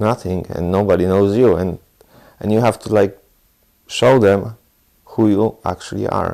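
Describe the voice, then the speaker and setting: At a moderate pace, a man with a Polish accent speaks in a dark, mellow tone, his fairly low pitch following a fairly even intonation. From southeast Poland. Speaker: Polish immigrant interviewee. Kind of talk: interview.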